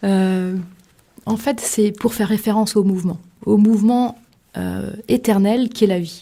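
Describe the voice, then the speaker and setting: Somewhat breathy and dark, mellow in tone, a woman speaks at a medium pitch with fairly even intonation. Her pace is fairly slow, broken by long, frequent pauses. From Limousin, France. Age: young. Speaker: author. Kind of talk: radio interview. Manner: hesitant, many fillers.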